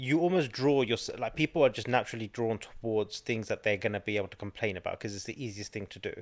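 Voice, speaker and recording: A man's medium-pitched voice at a very fast pace, hardly any pauses, and big swings in loudness. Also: ordinary pitch variation. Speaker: podcast host. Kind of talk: casual chat.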